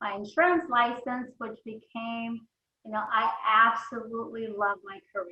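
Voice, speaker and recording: A woman's fairly high-pitched voice, an ordinary speaking voice, at a fairly slow pace, with ordinary pitch variation and big swings in loudness. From Mexico, moved to US at eleven. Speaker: insurance agency founder, entrepreneur. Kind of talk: podcast interview.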